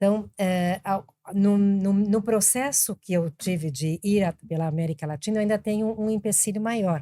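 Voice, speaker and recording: Recorded dry and close with no echo, a woman speaks at a medium pitch and moderate pace, her tone dark and mellow with ordinary pitch variation. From Brazil, Argentine family, also raised in Colombia. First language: Spanish (speaking Portuguese). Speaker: business executive. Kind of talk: podcast interview.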